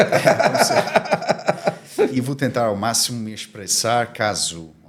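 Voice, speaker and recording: A man at a medium pitch with a non-native accent, at a very slow pace. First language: Armenian (speaking Portuguese). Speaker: diplomatic community commissioner. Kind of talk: podcast interview. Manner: halting.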